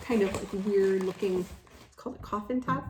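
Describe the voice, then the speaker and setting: Speaking at a moderate pace with a Chicago accent, a woman uses a medium pitch and ordinary pitch variation. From Chicago, Illinois. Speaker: nurse and mother making a video. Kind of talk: casual unboxing vlog. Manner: chatty, many fillers.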